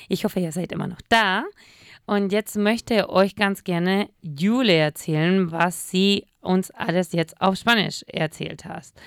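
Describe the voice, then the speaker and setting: In a very clean recording with a silent background and a dry, close sound with no echo, a woman talks at a fairly slow pace in a plain, everyday voice, her pitch medium with ordinary variation. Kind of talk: casual radio show banter, Spanish and German. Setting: radio studio.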